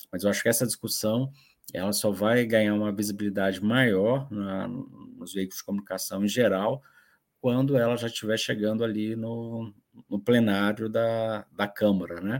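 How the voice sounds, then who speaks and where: Fairly low-pitched, a man talks at a moderate pace with fairly even intonation. The recording is very clean, with a silent background. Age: 40s. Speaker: journalist. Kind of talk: panel discussion. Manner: halting.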